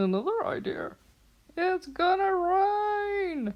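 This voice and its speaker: A cartoonish character voice, squeaky and extremely high, drags along at a very slow pace. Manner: playful, exaggerated.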